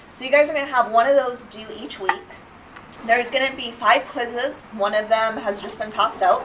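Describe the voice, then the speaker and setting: With a slight Canadian accent, a woman speaks at a fairly high pitch with ordinary pitch variation, over noticeable background noise and audible room echo. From Canada. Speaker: dental hygiene instructor. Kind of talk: lecture. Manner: casual, many fillers.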